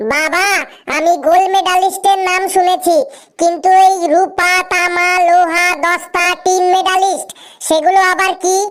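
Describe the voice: Someone does a cartoonish character voice at an extremely high pitch and a fairly slow pace.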